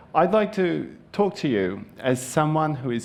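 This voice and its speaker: A man's fairly slow speech in a Japanese accent, with very wide pitch swings, on a very clean recording with a silent background. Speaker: conference speaker. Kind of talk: conference talk.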